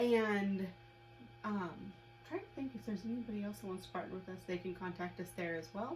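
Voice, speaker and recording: Against noticeable background noise, a woman speaks at a medium pitch with lively intonation. Her pace is fairly quick, broken by long, frequent pauses. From US Midwest. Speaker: web show co-host. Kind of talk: casual chat.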